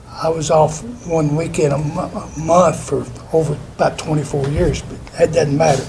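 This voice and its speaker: A man with a fairly high pitch and an American accent talks at a moderate pace. Audible room echo and noticeable background noise are present. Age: 70s. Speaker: retired factory worker speaking at public hearing. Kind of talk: public comment at planning meeting.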